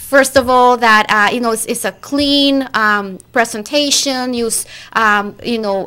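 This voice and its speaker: A woman with a Costa Rican accent speaks in a high, bright, sharp voice. Her pace is fairly slow, with hardly any pauses. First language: Spanish. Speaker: recruiter. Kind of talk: interview. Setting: studio. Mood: friendly, upbeat. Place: studio. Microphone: studio mic.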